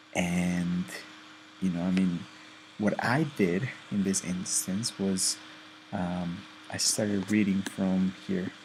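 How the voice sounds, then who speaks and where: Very slowly, a man with a non-native accent speaks in a very deep, low pitch. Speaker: student presenter. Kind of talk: tutorial. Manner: careful, deliberate; hesitant, many fillers.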